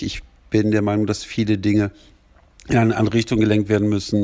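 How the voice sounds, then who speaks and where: The man's voice has a dark, mellow tone and a fairly low pitch. He talks at a fairly quick pace. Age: 40s. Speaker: wrestling podcast host. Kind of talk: solo podcast monologue.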